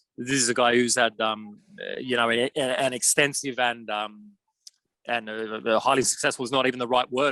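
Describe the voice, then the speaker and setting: Flat and monotone, the voice has a bright, sharp tone. It moves at a fairly quick pace with an Australian accent. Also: man. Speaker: football journalist. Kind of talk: interview. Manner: halting, many fillers.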